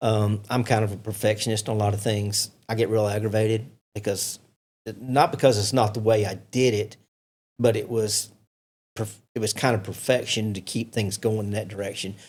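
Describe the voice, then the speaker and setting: A man with an American accent speaks at a moderate pace in a somewhat breathy voice. His intonation is monotone and flat, on a very clean recording with a silent background. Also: fairly low pitch for a man. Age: 60s. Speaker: racing promoter. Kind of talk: casual chat.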